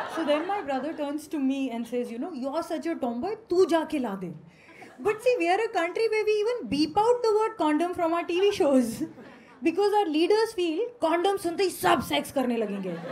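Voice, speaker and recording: Over light background noise, a woman talks at an extremely high pitch with very wide pitch swings. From India. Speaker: stand-up comedian. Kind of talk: stand-up comedy. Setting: stage with audience. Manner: animated, cheeky; fast, punchy Hinglish delivery. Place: stage. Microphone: handheld.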